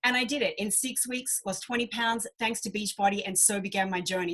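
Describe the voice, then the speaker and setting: A woman's bright, sharp, fairly high voice in an Australian accent, at a fairly quick pace. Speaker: business coach. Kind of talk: webinar presentation. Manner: animated.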